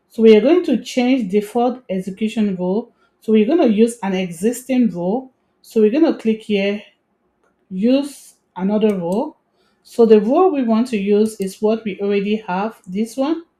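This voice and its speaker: A woman speaks at a fairly high pitch with ordinary pitch variation. Her tone is dark and mellow, and somewhat breathy. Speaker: tech tutorial creator. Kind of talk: screen-recorded tutorial. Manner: fast.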